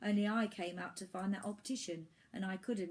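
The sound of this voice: Reading in an unforced voice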